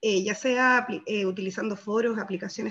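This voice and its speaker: Fairly quick and fairly high in pitch, a woman delivers her words. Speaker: workshop participant presenting group results. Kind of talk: group presentation in online workshop. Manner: fast; hesitant, many fillers. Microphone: video call.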